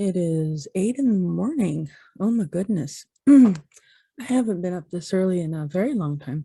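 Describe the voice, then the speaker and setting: A woman with a dark, mellow, somewhat breathy tone talks at a moderate pace and medium pitch, her intonation lively. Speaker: vlogger. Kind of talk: casual vlog talk. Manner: hesitant, many ums.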